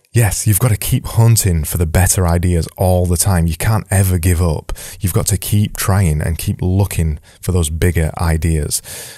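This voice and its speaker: In a Yorkshire accent, a man talks with a very deep, low pitch and a dark, mellow tone. His loudness stays very even. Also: moderate pace. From Yorkshire, England. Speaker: design podcast host. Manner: energetic, emphatic.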